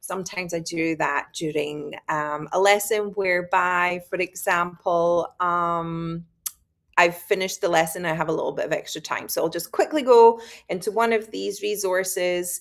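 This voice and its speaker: In a Scottish accent, a woman talks at a moderate pace with fairly low pitch and fairly even intonation. The recording is very clean, with a silent background. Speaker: high school biology teacher. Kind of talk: conference presentation. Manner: hesitant, many fillers.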